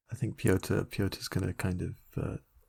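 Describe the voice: Low-pitched with little pitch movement, this man talks at a fairly slow pace. His tone is slightly mellow, with vocal fry and a slightly husky edge.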